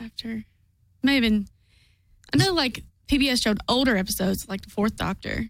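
A woman with a Kentucky accent, a nervous tone, a fairly high pitch, ordinary pitch variation, vocal fry, a fairly quick pace, and long, frequent pauses. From southeast Kentucky. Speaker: fan activist and guest. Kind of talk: casual chat. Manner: nervous, hesitant.

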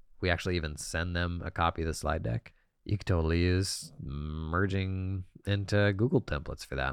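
A very deep, low male voice at a moderate pace, with ordinary pitch variation and a quiet background. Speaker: podcast co-host. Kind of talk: casual chat.

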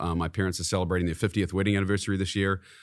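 A man's very deep, low voice with a New Zealand accent and monotone, flat intonation, on a very clean recording with a silent background. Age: 40s. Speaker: CEO of a real estate investment company. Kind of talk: casual interview chat. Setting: studio.

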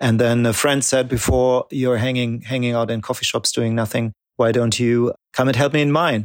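In a German accent, a man speaks at a moderate pace with fairly even intonation and very even loudness, in a very clean, dry, close recording with a silent background and no echo. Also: medium pitch for a man. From Germany. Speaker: coffee company founder. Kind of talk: casual interview. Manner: halting, filler-heavy.

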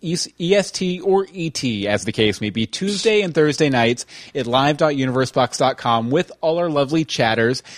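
A man with an American accent and a fairly high pitch, a plain, everyday voice, moderate pace and lively intonation, in a dry, close sound with no echo. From Texas. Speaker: podcast host. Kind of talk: casual chat. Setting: live online stream.

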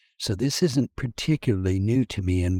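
Recorded very cleanly against a silent background, with a dry, close sound and no echo, a man with an American accent talks fairly quickly in a very deep, dark, mellow, somewhat breathy voice with ordinary pitch variation. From Kansas. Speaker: technology consultant and podcast co-host. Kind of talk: casual professional discussion. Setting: audio program.

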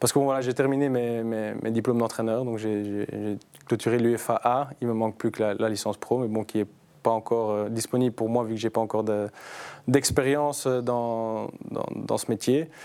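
The speaker has a Belgian accent and a monotone, flat intonation at a moderate pace. The recording is very clean, with a silent background. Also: man, medium pitch for a man. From Brussels, Belgium. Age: 30s. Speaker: footballer and youth team leader. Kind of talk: casual chat.

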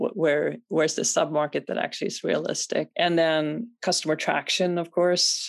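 Speech comes at a moderate pace with a Swedish accent. There are hardly any pauses. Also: woman. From Sweden. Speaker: venture capital investor. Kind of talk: interview.

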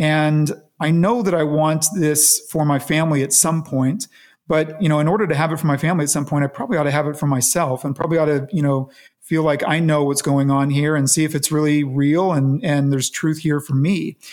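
A man's fairly high voice, a normal speaking voice, with an American accent, a fairly quick pace, fairly even intonation and very even loudness, in a very clean recording with a silent background. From Las Vegas, Nevada, US. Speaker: businessman and church leader. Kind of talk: interview.

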